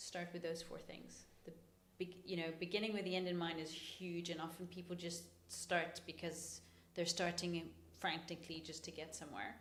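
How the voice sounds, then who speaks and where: Room echo is audible as a woman with an American accent speaks at a moderate pace. Her pitch is fairly low and her intonation is flat and monotone. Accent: soft American. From New York, US, then UK. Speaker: podcast co-host, physiotherapist and business owner. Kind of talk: casual podcast conversation.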